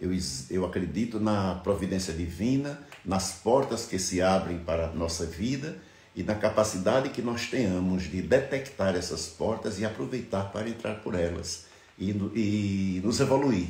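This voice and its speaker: A man talks fairly slowly in a fairly low, somewhat breathy voice with ordinary pitch variation. The room echo is audible. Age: 60s. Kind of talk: reflective monologue. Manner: halting.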